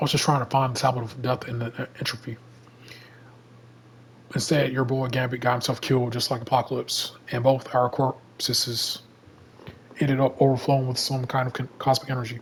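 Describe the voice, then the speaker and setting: A man in a put-on, raspy character voice speaks at a medium pitch and fairly quick pace, with monotone, flat intonation and long, frequent pauses. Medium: game stream. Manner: casual, slangy.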